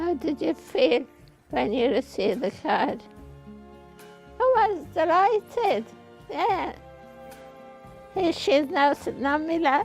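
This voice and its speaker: Over music in the background, a woman with a high pitch speaks at a very slow pace, with very wide pitch swings and long, frequent pauses. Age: 80s+. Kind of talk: interview answer.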